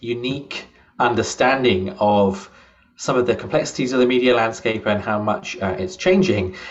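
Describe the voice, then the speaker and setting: A man's medium-pitched voice with a British accent, moderate pace and lively intonation. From UK. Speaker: journalism professor. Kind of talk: interview.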